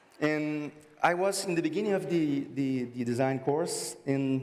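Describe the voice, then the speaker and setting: In a room with audible echo and noticeable background noise, a man with a Brazilian Portuguese accent speaks at a moderate pace, his fairly high pitch showing ordinary variation. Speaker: graphic designer. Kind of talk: conference talk. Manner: halting.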